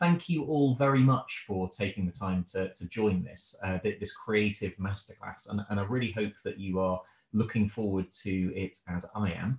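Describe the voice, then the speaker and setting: A man speaks at a moderate pace with a fairly low, somewhat breathy voice, ordinary pitch variation and hardly any pauses, with audible room echo over a quiet background. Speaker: host introducing a webinar. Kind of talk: event introduction. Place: home room. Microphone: video call.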